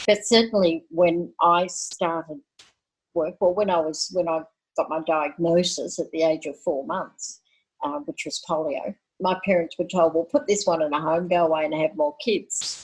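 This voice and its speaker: In an Australian accent, a woman with a fairly low pitch speaks at a moderate pace, using ordinary pitch variation. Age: 60s. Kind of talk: podcast interview.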